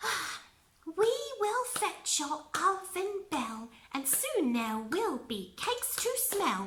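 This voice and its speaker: A woman's sing-song, put-on character voice, extremely high in pitch with very wide pitch swings, at a very slow pace. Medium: read story. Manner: sing-song rhyming.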